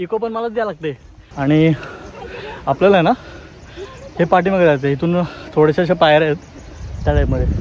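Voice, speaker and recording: The pitch variation is ordinary. Noticeable background noise can be heard. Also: man, high pitch for a man. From Maharashtra (Khopoli). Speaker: travel vlogger. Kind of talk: vlog narration while trekking. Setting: outdoors on a monsoon trek. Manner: animated.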